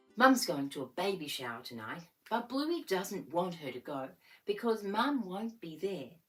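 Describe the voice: This recording captures plain reading aloud.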